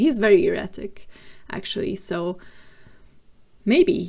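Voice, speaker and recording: Speaking at a fairly slow pace, a woman with a non-native accent has a dark, mellow tone. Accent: non-native English, noticeable. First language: not English. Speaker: gaming video creator. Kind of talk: voiceover narration of a game build. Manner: casual, with frequent fillers.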